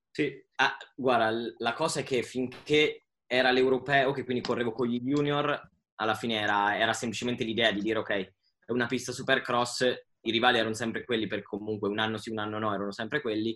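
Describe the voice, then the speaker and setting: A man races along at a very fast pace, his intonation staying fairly even. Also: medium pitch for a man. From Italy. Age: 20s. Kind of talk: casual chat.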